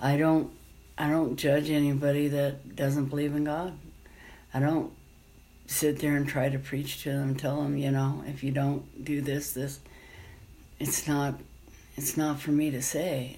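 Monotone, flat intonation at a fairly slow pace, broken by long, frequent pauses. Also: woman, very deep, low pitch for a woman. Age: 50s. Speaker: rideshare driver and former nun. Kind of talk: interview. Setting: at home.

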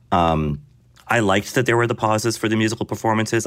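Rattling along at a very fast pace, a man talks in a medium pitch. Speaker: film critic. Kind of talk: casual chat.

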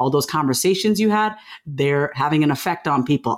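Speaking in a New York accent, a woman talks at a fairly quick pace with an animated tone, ordinary pitch variation, and a very deep, low pitch. The recording is very clean, with a silent background. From New York, Long Island. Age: 40s. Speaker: author and confidence speaker. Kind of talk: interview conversation.

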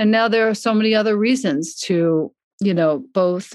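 In an unremarkable speaking voice, a woman talks at a moderate pace with an American accent over a quiet background. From US, Long Island, New York. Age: 50s. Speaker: yoga and meditation teacher, author. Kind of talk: casual interview chat.

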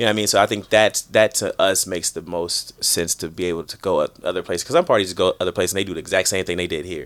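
A man with an American accent talks at a very fast pace, hardly pausing at all. The sound is dry and close, with no echo. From US Midwest, Chicago. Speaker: guest. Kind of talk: casual chat. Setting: studio.

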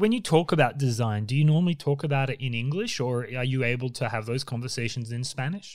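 Talking at a very fast pace, a man with an Australian accent keeps to a medium pitch. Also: ordinary pitch variation, very clean recording, silent background. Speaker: podcast host, designer. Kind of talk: interview.

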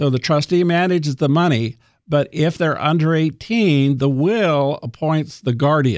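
A man talks in a normal speaking voice at a fairly high pitch and a fairly slow pace, with a quiet background behind him. His loudness stays very even and his pitch variation ordinary. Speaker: attorney on living trusts. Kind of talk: radio interview, explanatory.

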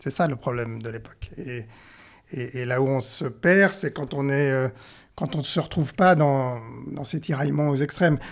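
The speech moves at a moderate pace with ordinary pitch variation, in a very clean recording with a silent background. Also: man, fairly high pitch for a man. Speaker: press cartoonist. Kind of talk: interview. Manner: halting, many repetitions and hesitations.

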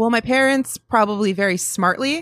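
A woman talks at a fairly quick pace with ordinary pitch variation and a Buffalo accent. The sound is dry and close, with no echo. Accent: Western New York (Buffalo). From Western New York, Buffalo area (Cheektowaga). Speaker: sports TV producer. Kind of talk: casual interview chat. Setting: coffee shop.

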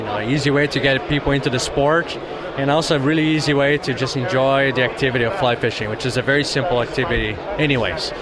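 Talking at a very fast pace with hardly any pauses, a man keeps his intonation fairly even amid noticeable background noise and audible room echo. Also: fairly high pitch for a man, very even loudness. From Brazil. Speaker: fishing gear company founder. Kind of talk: interview. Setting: trade show. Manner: hesitant with many fillers.

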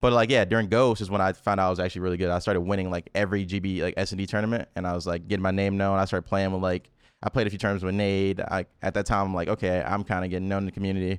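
The speaker talks very fast in an American accent with monotone, flat intonation. The background is quiet. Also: man, very deep, low pitch for a man. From US South, Memphis, Tennessee. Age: 20s. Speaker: esports pro player. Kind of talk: casual chat.

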